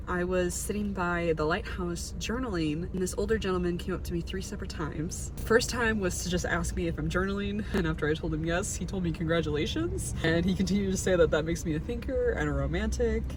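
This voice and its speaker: A woman at a very fast pace with hardly any pauses, over noticeable background noise. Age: 20s. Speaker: vlogger. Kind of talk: casual vlog talk to camera. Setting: outdoors at a pier at sunset. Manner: animated.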